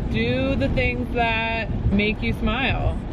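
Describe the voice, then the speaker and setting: A woman's voice, dry with no echo, amid loud background noise. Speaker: vlogger. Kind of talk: casual vlog chat. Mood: earnest, reflective. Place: car. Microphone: phone near.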